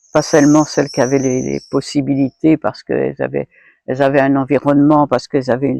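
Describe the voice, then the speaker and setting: A woman talks at a fairly quick pace in a very deep, low pitch with vocal fry and fairly even intonation, the sound dry and close with no echo. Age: 70s. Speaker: retired feminist activist and volunteer. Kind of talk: interview answer.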